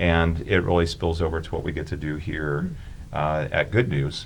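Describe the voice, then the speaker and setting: A man with an American accent, at a fairly slow pace. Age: 60s. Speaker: youth ministry volunteer and former teacher. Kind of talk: casual chat.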